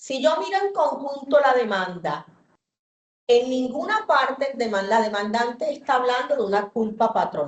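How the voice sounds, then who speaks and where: A woman's high-pitched, fairly slow speech with very wide pitch swings. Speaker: judge. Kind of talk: court hearing.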